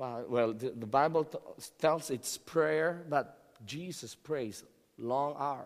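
Using a Filipino accent, a man speaks with a fairly high pitch and ordinary pitch variation. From Philippines. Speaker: pastor. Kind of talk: sermon. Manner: halting, repeats words.

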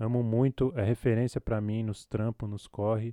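A man with a fairly low pitch and a dark, mellow tone, flat and monotone in intonation, at a moderate pace, with a dry, close sound with no echo. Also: quiet background. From Brazil, São Paulo south zone, Capão Redondo. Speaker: filmmaker. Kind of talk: interview.

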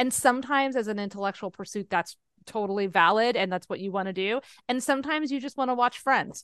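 Very fast and with ordinary pitch variation, a woman's fairly high voice comes through with a dry, close sound and no echo. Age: 30s. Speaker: podcast co-host. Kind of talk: casual chat. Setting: video call.

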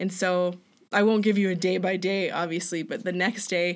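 Recorded very cleanly over a silent background, the speaker talks with a Canadian accent at a moderate pace and with fairly even intonation. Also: woman. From Alberta, Canada. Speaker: returned missionary, front desk worker. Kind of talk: casual interview.

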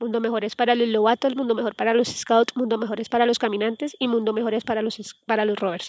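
Very fast and in a monotone, flat intonation, a woman talks with a fairly high pitch. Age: 30s. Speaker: scout program coordinator. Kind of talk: interview answers.

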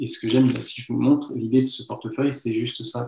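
A medium-pitched man at a moderate pace. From France, Lyon. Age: 30s. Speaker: magician. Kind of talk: interview. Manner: halting.

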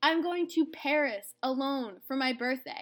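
Lively intonation in a woman's high-pitched voice. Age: 20s. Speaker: solo podcaster. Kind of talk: personal monologue.

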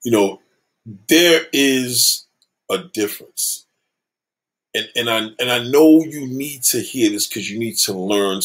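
The speaker is a man with lively intonation. His pace is fairly slow. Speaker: livestream host. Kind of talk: casual livestream rant. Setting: home livestream. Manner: loud.

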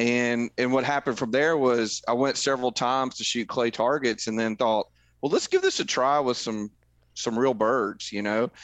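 Speaking with a Tennessee accent, a man uses a medium pitch and fairly even intonation. His pace is moderate. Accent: Southern US (Tennessee). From Middle Tennessee. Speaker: conservation group volunteer leader, hunter. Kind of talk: casual interview chat.

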